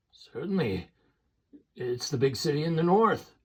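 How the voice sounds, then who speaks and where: Using a put-on character voice, a man sounds raspy with a fairly high pitch and very wide pitch swings. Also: moderate pace. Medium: read story. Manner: rustic, wary.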